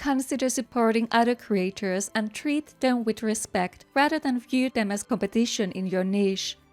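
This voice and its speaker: At a moderate pace, a woman speaks with a non-native accent in a dry, close recording with no echo. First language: not English. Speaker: gaming content creator. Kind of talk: scripted narration. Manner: careful articulation.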